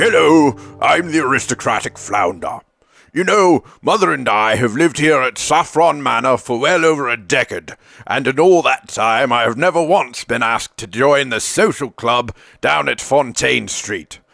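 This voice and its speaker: In a cartoonish character voice at medium pitch, a man talks at a moderate pace on a very clean recording with a silent background. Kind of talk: posh upper-class. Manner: pompous, genteel.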